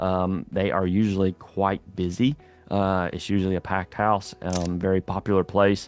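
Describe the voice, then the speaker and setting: A man with a slight Southern accent speaks in a very deep, low pitch with fairly even intonation. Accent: slight southern drawl. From Louisiana. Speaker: real estate agent / local guide vlogger. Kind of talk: casual video tour. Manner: casual, hesitant with fillers.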